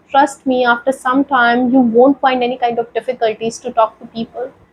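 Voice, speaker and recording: A woman's high-pitched voice in an Indian accent at a moderate pace, with a dry, close sound and no echo. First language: Hindi. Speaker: YouTuber sharing English-learning story. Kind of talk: motivational vlog talk. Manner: halting.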